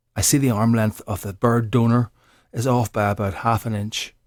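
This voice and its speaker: With a Northern Irish accent, a man speaks fairly slowly at a fairly low pitch, the sound dry and close with no echo on a very clean recording with a silent background. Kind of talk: accent sample script reading.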